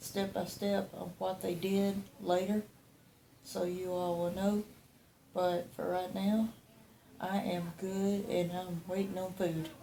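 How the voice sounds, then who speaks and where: A woman speaks very slowly in a dark, mellow tone, somewhat breathy and flat in a monotone, with long, frequent pauses. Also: medium pitch for a woman. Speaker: patient after deep brain stimulation surgery. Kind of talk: casual video update.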